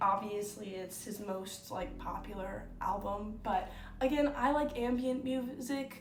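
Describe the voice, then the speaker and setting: A woman talks fairly slowly with hardly any pauses, with noticeable background noise and audible room echo. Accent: American. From United States. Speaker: YouTuber. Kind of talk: casual chat. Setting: at home on her bed. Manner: casual, with many fillers.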